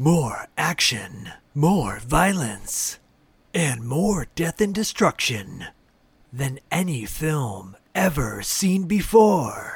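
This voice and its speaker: A man performs a put-on character voice at a fairly high pitch. He speaks at a very slow pace with very wide pitch swings. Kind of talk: movie trailer voice. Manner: dramatic, ominous.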